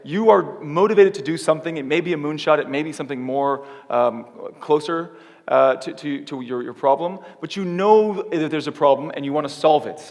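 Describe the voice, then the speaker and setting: With an American accent, a man talks at a fairly quick pace and a fairly high pitch. His pitch varies in an ordinary way while his loudness swings widely. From California, US. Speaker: keynote speaker, tech company startup lead. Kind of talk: conference keynote talk. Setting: theater stage with audience. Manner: fast; animated.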